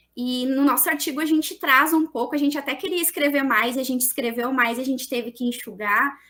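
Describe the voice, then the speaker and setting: A woman's raised, projected voice, high-pitched with a bright, sharp tone, fairly quick with hardly any pauses and ordinary pitch variation. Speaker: teacher presenting a research paper. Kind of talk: conference presentation.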